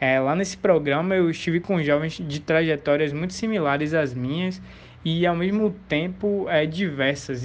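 A man's ordinary speaking voice, fairly high in pitch, ordinary pitch variation, moderate pace. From Brazil, Salvador (Bahia). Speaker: student and community project leader. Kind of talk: interview. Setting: remote interview.

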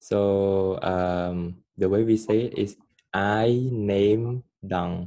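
A man with a Cambodian accent speaks very slowly in a fairly low pitch, his tone dark and mellow and his intonation fairly even. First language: Khmer. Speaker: guest. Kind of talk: casual interview chat.

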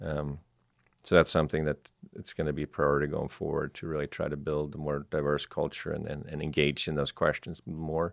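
A man's very deep, low voice in a Swedish accent, flat and monotone, at a fairly quick pace. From southern Sweden. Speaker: entrepreneur. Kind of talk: interview. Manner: halting, with frequent repetitions.

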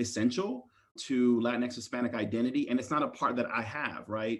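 This is an unremarkable speaking voice with an American accent, moving at a fairly quick pace. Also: man. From Maryland, US. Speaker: university diversity dean. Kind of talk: interview.

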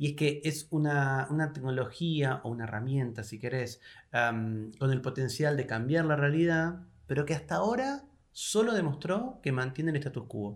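He speaks in a Rioplatense accent. His pitch rises and falls in an ordinary way. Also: fairly high pitch for a man, moderate pace. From Argentina, Buenos Aires province. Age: 40s. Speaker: philosopher and university professor. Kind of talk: interview conversation.

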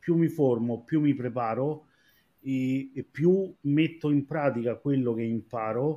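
This dark, mellow voice moves very slowly. Its pitch varies in an ordinary way. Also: man. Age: 40s. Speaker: former receptionist, hotel professional. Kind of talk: live-streamed panel discussion.

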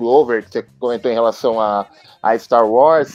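A man talks in a normal speaking voice with ordinary pitch variation. His pace is fairly slow. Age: 20s. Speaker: history graduate student and amateur actor. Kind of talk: casual chat.

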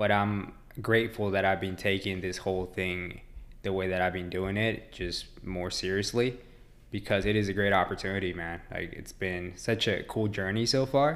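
In a plain, everyday voice, a man speaks at a moderate pace with a fairly low pitch and fairly even intonation. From Mexico, raised in Dallas, Texas. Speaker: ultramarathon runner. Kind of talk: casual interview.

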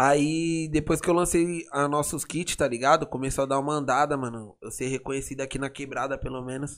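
At a fairly quick pace with hardly any pauses, a man uses an ordinary speaking voice, fairly high in pitch and fairly even in intonation. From São Paulo, São Remo community. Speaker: funk MC. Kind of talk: casual interview.

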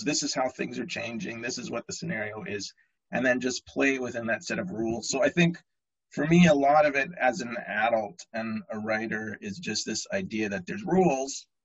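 A man with a normal speaking voice and a Canadian accent, medium pitch, lively intonation and a moderate pace. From Canada. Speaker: author. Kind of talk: interview. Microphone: choppy connection.

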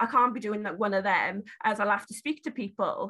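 Against a quiet background, a woman speaks with a Welsh accent in a bright, sharp tone. Her intonation is lively and her pace moderate. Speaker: beauty brand founder and support worker. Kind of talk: casual interview.

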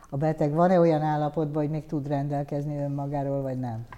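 Her tone dark and mellow, a woman talks at a fairly quick pace. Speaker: tv interviewer. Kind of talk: interview. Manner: formal.

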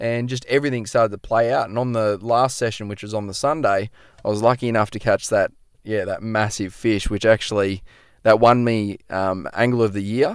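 On a very clean recording with a silent background, a man with an Australian accent speaks fairly quickly at a medium pitch, his intonation fairly even. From Queensland, Australia (Noosa). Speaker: fishing guide. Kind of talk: casual chat. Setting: outdoors.

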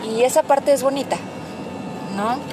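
A woman speaks over noticeable background noise. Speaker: podcast host, mother. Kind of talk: casual monologue. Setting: in a car. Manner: chatty, many fillers.

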